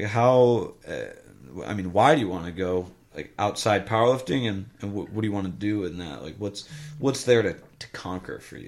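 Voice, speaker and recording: Speaking with an American accent, a man has an unremarkable speaking voice, a fairly low pitch and a moderate pace. His intonation is lively and his loudness swings widely. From US Midwest. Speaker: podcast host. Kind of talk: casual chat.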